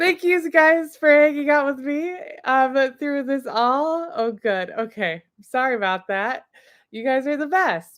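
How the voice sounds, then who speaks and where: A loud woman with a high pitch speaks at a fairly slow pace with lively intonation, on a very clean recording with a silent background. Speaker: livestream host presenting subscription box products. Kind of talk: live product unboxing stream. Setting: live video stream. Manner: animated.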